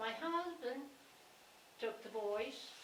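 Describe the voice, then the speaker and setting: Audible room echo and noticeable background noise surround a woman speaking at a very slow pace. Her pitch swings very widely. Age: 80s+. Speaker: town resident speaking at public meeting. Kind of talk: public meeting discussion.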